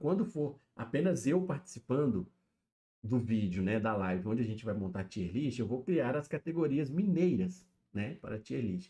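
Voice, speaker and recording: Lively intonation runs through a dark, mellow tone. The pace is moderate. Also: man. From Minas Gerais interior, Brazil. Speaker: streamer. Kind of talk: live stream commentary. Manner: casual, filler-heavy.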